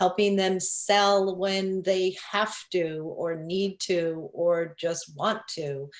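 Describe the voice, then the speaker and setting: A woman speaks with a Long Island accent. Her pitch sits in the medium range and her intonation is fairly even. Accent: New York (Long Island). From Long Island, New York. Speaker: real estate broker. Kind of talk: interview. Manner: hesitant, many fillers.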